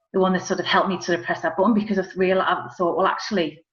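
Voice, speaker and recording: The speaker has a Liverpool accent. Pitch variation is ordinary. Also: woman. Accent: Scouse. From Liverpool, England. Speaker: business owner. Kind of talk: interview.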